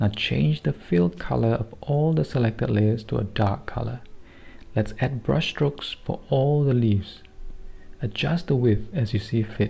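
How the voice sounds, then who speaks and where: A man with a Singaporean accent speaks at a medium pitch in a dark, mellow, somewhat breathy tone, with very wide pitch swings and very even loudness. His speech contains long, frequent pauses. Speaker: digital artist. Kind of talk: software tutorial narration.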